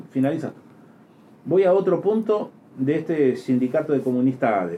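A man speaks at a fairly quick pace in a fairly high pitch with a dark, mellow tone. His pitch swings very widely, and he takes long, frequent pauses. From outside Uruguay. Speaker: radio host. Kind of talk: political talk show interview. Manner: animated.

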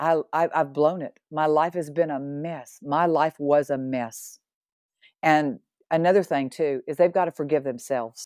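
In a dry, close recording with no echo, a woman with a very deep, low pitch talks at a fairly slow pace with fairly even intonation. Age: 60s. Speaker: guest sharing faith testimony. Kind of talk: testimony.

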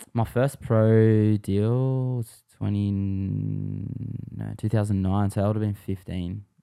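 A man speaks very slowly in an Australian accent, with hardly any pauses. His tone is dark and mellow, his pitch fairly low, and his intonation fairly even. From Western Sydney, Australia. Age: 20s. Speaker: pro scooter rider. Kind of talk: casual chat.

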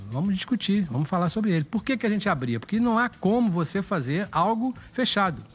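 In a Carioca accent, a man with a high voice talks at a fairly quick pace with lively intonation and hardly any pauses. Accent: carioca Brazilian Portuguese. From Rio de Janeiro. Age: 70s. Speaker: city councillor and pediatrician. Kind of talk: casual interview.

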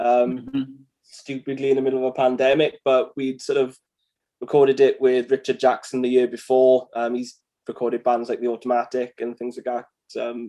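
At a moderate pace with long, frequent pauses, a man with a Welsh accent speaks at medium pitch in a dark, mellow tone. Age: 30s. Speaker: musician. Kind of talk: casual chat.

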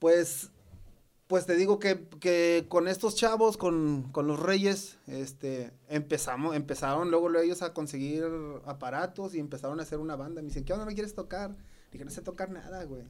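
A man speaks in a high pitch. His pitch varies in an ordinary way. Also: moderate pace. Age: 40s. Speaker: punk musician. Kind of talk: casual chat.

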